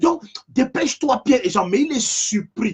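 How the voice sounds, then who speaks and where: A man's voice with very wide pitch swings. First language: African language, not French (speaking French). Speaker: preacher. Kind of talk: sermon.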